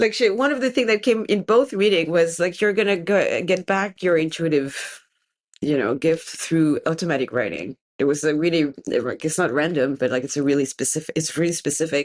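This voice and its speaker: Speaking at a moderate pace in a French accent, a woman's voice swings very widely in pitch. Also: fairly low pitch for a woman. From France. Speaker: tarot reader and scholar. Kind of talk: interview conversation. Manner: halting.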